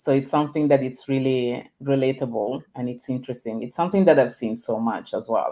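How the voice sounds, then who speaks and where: Speaking at a fairly quick pace with hardly any pauses, a woman with a non-native accent uses a very deep, low pitch. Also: ordinary pitch variation. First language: not English. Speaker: storytelling and leadership coach. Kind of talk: casual interview conversation. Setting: live video stream.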